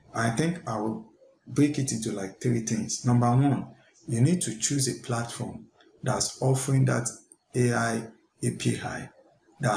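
A man speaks at a fairly slow pace with vocal fry and fairly even intonation. Light background noise and audible room echo are present. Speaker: tech content creator. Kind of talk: tutorial. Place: home room. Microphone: headset.

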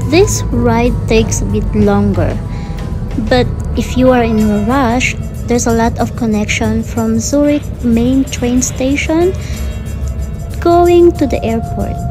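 A woman speaks at a fairly slow pace with long, frequent pauses while clear music plays in the background. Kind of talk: casual vlog chat. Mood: relaxed, content. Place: train. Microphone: phone near.

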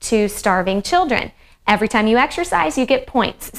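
Speaking at a moderate pace, a woman uses a high pitch. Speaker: fitness instructor. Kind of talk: casual workout intro to viewers. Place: home room.

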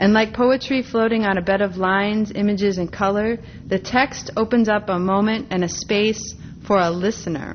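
Light background noise sits under a woman with an ordinary speaking voice, medium pitch and fairly even intonation at a moderate pace. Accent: American. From US Midwest, Minneapolis, Minnesota. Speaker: art historian and professor; professor. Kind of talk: lecture. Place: hall.

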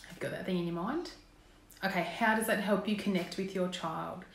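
A woman speaks at a fairly quick pace, her fairly low pitch showing ordinary variation and vocal fry. Audible room echo surrounds her.

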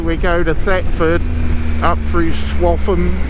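The speech moves at a fairly slow pace. The sound is dry with no echo, and there is noticeable background noise. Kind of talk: casual vlog chat. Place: motorbike. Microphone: helmet.

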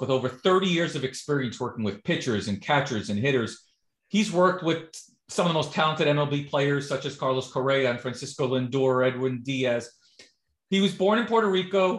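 In a quiet background with audible room echo, a man speaks at a fairly quick pace and a fairly high pitch, sounding somewhat breathy. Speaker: podcast interviewer. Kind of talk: interview host talk. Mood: friendly, enthusiastic. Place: home room. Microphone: video call.

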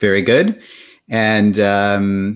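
In a quiet background, a man is talking. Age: 40s. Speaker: podcast host, drummer; podcast host. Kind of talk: interview. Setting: video call. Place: home room.

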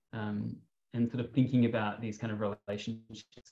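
Recorded dry and close with no echo, a man with an Australian accent talks at a moderate pace with a fairly low pitch, a dark, mellow tone and monotone, flat intonation. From Sydney, Australia. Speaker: artist and PhD student. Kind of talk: panel discussion. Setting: video call. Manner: halting, many fillers.

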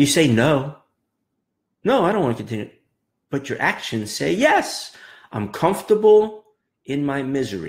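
With an animated tone, a man speaks at a fairly high pitch and a moderate pace, his pitch swinging very widely between long, frequent pauses. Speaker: trading coach. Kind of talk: pep talk. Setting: live video. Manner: motivational, emphatic. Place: office. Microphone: webcam.

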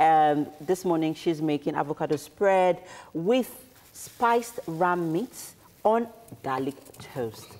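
Speaking at a fairly slow pace with long, frequent pauses, a woman with a Nigerian accent uses lively intonation at a fairly low pitch. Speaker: TV morning show co-host. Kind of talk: casual chat. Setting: studio.

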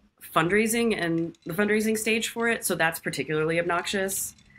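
A woman's voice with ordinary pitch variation over faint music in the background. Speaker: filmmaker; podcast caller. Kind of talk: casual chat. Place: home room. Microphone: studio mic.

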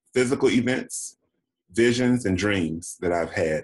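Against a quiet background, a man with an American accent speaks fairly slowly in a normal speaking voice at medium pitch with lively intonation. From US South, Daytona Beach, Florida; Florida. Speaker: actor and HIV activist; actor. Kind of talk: interview. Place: home room. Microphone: video call.

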